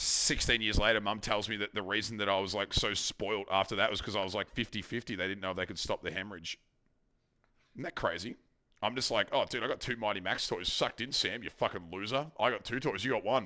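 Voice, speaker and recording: In a very clean recording with a silent background, a man with an Australian accent speaks at a very fast pace, his fairly low pitch showing ordinary variation and a bright, sharp tone. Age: 30s. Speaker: streamer. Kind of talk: casual chat.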